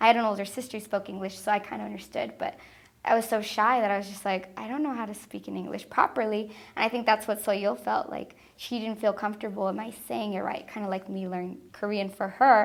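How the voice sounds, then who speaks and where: A woman with a Spanish accent talks very fast at a medium pitch, with fairly even intonation and big swings in loudness, on a very clean recording with a silent background. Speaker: preschool teacher. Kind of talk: interview testimony; talking with children.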